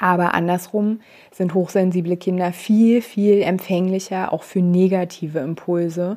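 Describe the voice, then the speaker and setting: Fairly slow and fairly even in intonation, a woman speaks with a dark, mellow tone. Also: very clean recording, silent background. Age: 30s. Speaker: parenting coach and podcast host. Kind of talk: solo podcast monologue. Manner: hesitant, many filler sounds.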